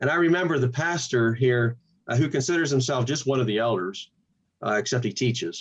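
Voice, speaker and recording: A man speaks at a fairly quick pace in a somewhat breathy, medium-pitched voice with ordinary pitch variation. His loudness stays very even throughout. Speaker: pastor and channel host. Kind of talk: interview.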